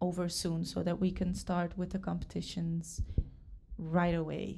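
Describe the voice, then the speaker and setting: The voice has a dark, mellow tone and a Dutch accent. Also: woman. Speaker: dance school founder and teacher. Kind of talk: interview. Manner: hesitant, many fillers.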